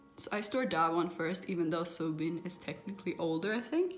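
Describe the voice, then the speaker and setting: Speaking in a non-native accent, a woman with fairly low pitch and ordinary pitch variation talks at a moderate pace, with music in the background and audible room echo. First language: not English. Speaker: kpop photocard collector vlogger. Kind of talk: casual show-and-tell vlog. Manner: halting, self-correcting.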